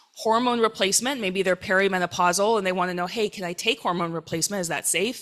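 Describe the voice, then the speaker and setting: A woman talks at a very fast pace. Noticeable background noise runs under her voice. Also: medium pitch for a woman, ordinary pitch variation, hardly any pauses. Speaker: rheumatologist. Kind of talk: lecture. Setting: conference stage with audience.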